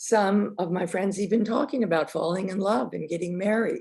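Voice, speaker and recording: Her tone dark and mellow, a woman speaks with vocal fry and ordinary pitch variation. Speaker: filmmaker and former teacher. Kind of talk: talk to an audience. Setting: virtual presentation.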